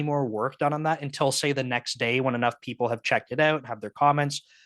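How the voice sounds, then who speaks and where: In a dry, close recording with a quiet background, a man talks with a slight Canadian accent. His voice is fairly high, with ordinary pitch variation. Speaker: software engineering manager. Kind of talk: casual talk at online meetup. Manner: casual, many filler words.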